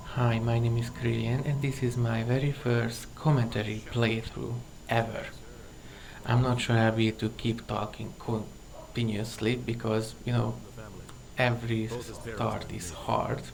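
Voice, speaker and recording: A man at medium pitch with a non-native accent, at a fairly slow pace in a monotone, flat intonation, with audible room echo. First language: not English. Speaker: gaming commentator. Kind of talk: recorded gameplay commentary. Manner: pauses while searching for words.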